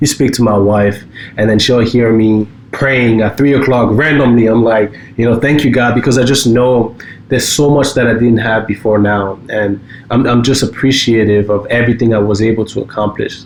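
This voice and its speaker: A man with a medium-pitched voice speaks at a moderate pace, his loudness very even and his intonation fairly even, over noticeable background noise. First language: French. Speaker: cybersecurity company co-founder. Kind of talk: casual podcast chat. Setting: home basement studio.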